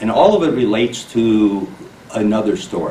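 A man is speaking. There is audible room echo and light background noise. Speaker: candidate. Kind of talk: interview answer. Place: meeting room.

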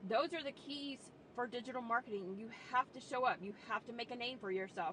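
Light background noise sits behind the voice. The sound is dry, with no echo. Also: woman. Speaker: online business coach. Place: car. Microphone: phone near.

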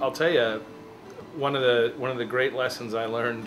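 Noticeable noise sits behind a man who speaks at a moderate pace. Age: 40s. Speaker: photographer. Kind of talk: interview testimony. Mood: warm, reflective. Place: home room.

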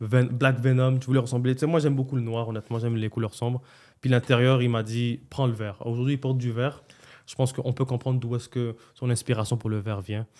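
Over a quiet background, a man talks at a fairly quick pace. His tone is dark and mellow, his intonation monotone and flat. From Montreal, Quebec. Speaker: restaurant owner, entrepreneur; podcast guest. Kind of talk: casual interview, life story. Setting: podcast studio. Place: studio. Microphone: studio mic.

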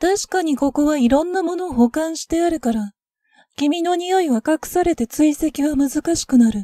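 A woman with a high pitch and a dark, mellow tone talks with ordinary pitch variation in a dry, close sound with no echo. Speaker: ASMR voice actor playing a boyish vampire. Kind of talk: ASMR roleplay, scripted vampire voice drama. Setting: ASMR binaural audio with sound effects. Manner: soft, teasing and playful, slow and intimate, like a calm whisper.

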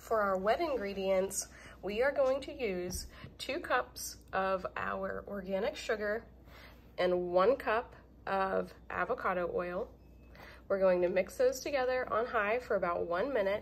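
A woman talks at a fairly slow pace. Her pitch varies in an ordinary way. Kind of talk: tutorial. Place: kitchen. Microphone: phone near.

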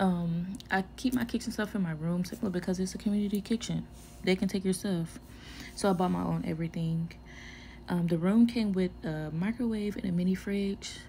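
Somewhat breathy, a woman speaks at a moderate pace with ordinary pitch variation over light background noise. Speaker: vlogger living on an air force base. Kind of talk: casual vlog tour. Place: home room. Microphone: phone near.

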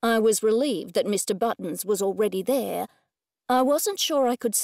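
Plain reading aloud plays out with a quiet background behind it.

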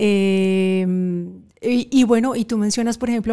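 A woman at medium pitch and a very slow pace, over a quiet background. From Colombia, Cali. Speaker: actress and TV presenter. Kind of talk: interview conversation. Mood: nostalgic, reminiscing about childhood. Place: studio. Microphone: studio mic.

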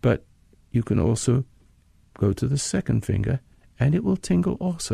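A man's somewhat breathy, dark, mellow voice with an American accent, dry and close with no echo. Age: 80s. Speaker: radio host and meditation teacher. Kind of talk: guided meditation. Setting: studio recording. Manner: calm, slow, instructional.

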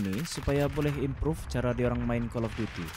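This man has an ordinary speaking voice, talking at a moderate pace with lively intonation. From Sabah, Malaysia. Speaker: gaming YouTuber. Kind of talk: casual monologue over gameplay.

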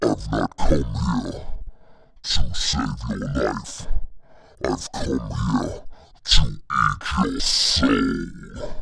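A man puts on a character voice, talking very slowly and pausing often and at length. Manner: menacing.

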